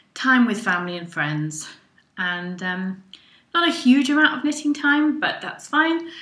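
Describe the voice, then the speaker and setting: A woman's high, bright, sharp voice with very wide pitch swings, at a fairly slow pace, with audible room echo. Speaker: podcast host. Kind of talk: casual podcast monologue. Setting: home recording. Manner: hesitant with frequent ums.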